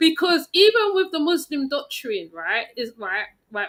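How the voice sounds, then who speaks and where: Her tone is animated, with very wide pitch swings, as the woman talks at a moderate pace. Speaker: panel participant. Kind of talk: casual chat.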